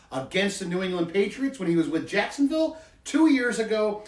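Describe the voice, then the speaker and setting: Fairly quick delivery against noticeable background noise. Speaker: football podcast co-host. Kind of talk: casual sports chat. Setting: studio.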